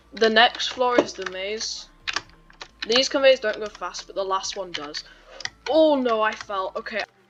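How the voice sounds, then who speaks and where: Fairly slow speech with long, frequent pauses and noticeable background noise. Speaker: gaming tutorial creator. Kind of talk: gameplay tutorial. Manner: casual, slightly halting.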